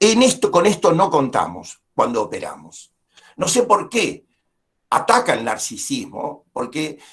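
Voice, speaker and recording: Here a man talks at a fairly slow pace. His voice shows very wide pitch swings. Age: 70s. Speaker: community psychologist giving a lecture. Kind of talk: lecture.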